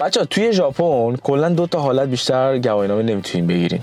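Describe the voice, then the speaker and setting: Noticeable background noise sits behind a man's voice. He talks very fast, with lively intonation. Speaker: vlogger. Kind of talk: casual vlog talk to camera.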